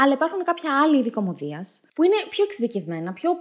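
A woman's high, animated voice with very wide pitch swings at a fairly quick pace, over a quiet background. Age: 20s. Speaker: comedic political commentary host. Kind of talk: comedic monologue. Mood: ironic, humorous. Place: home room. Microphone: studio mic.

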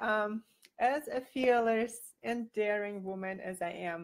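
Against a quiet background, a woman with a non-native accent speaks at a very slow pace. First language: not English. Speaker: boudoir photographer. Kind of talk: live video talk to camera. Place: home room. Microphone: webcam.

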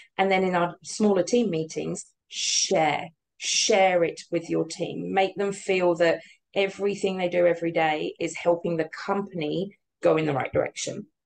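With a British accent, a woman at fairly low pitch speaks at a moderate pace with fairly even intonation over light background noise. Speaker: business owner; interviewee. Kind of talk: interview. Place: office. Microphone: webcam.

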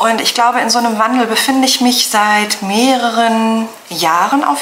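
A woman with a fairly high pitch talks at a moderate pace against light background noise. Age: 40s. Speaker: knitting vlogger. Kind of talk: personal testimony; casual vlog. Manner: hesitant, many fillers. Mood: serious, reflective. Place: home room.

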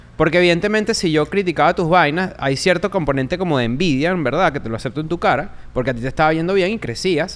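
Hardly pausing, a man with a fairly high pitch speaks at a very fast pace with ordinary pitch variation. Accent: Venezuelan. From Venezuela. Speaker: comedian and podcaster; comedian, podcaster. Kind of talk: casual chat. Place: studio. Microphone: studio mic.

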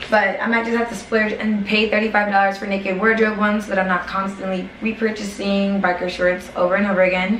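With hardly any pauses, a woman talks at a fairly quick pace amid audible room echo and light background noise. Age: 20s. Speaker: YouTuber. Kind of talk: haul video. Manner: fast; animated. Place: home room. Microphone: camera far.

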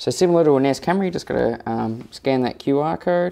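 Against a quiet background, a man speaks with an Australian accent. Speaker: tech youtuber; tech reviewer. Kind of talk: tutorial. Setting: at home, walking around the house. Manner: casual, hesitant with many fillers. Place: home room.

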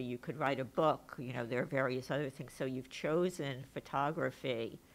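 A woman with a very deep, low pitch speaks at a moderate pace with fairly even intonation. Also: hardly any pauses. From New York. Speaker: moderator and professor; moderator, professor. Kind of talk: panel discussion. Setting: stage with audience. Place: hall. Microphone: podium.

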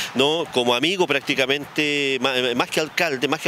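A fairly quick pace with ordinary pitch variation, in a dry sound with no echo and light background noise. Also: man. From Chile. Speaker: city mayor. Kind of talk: interview answer. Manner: somber. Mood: somber, grieving tribute. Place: street. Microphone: handheld.

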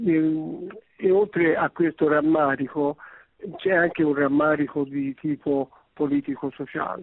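Pausing long and often, a man speaks at a fairly slow pace, his fairly high pitch following fairly even intonation. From Tuscany, Livorno. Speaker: radio caller. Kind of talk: call-in comment. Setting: phone call.

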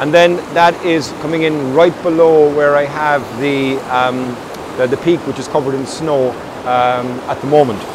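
The voice keeps a moderate pace and fairly even intonation. The sound is dry with no echo, with noticeable background noise. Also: man. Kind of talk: casual vlog chat. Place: waterside.

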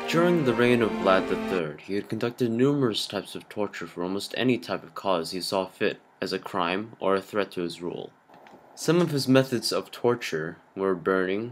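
A man at a moderate pace, with an ordinary speaking voice and lively intonation. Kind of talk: movie trailer narration.

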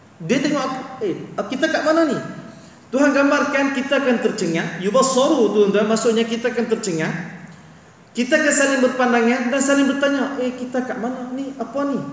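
A man's extremely high voice at a fairly quick pace, animated in tone, with ordinary pitch variation and audible room echo. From Malaysia. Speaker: religious teacher. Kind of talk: religious lecture. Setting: mosque after dawn prayer. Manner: animated, repetitive. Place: hall. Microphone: headset.

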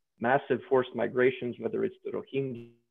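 A man's voice comes through with little sound behind it. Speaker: guest. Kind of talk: lecture. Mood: earnest, lightly self-deprecating. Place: home room. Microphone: video call.

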